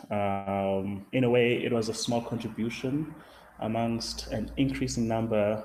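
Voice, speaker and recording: A man with a Zulu accent, very slow pace, and audible room echo. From South Africa. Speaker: science writer. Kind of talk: lecture. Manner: halting, many fillers.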